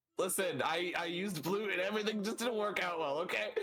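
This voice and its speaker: Using a put-on character voice, a man rattles along at a very fast pace with a high pitch. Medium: actual play. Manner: stammering, flustered.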